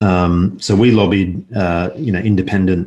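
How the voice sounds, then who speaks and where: On a very clean recording with a silent background, a man with a very deep, low pitch talks with fairly even intonation. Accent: Australian. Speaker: investment analyst. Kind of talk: casual interview.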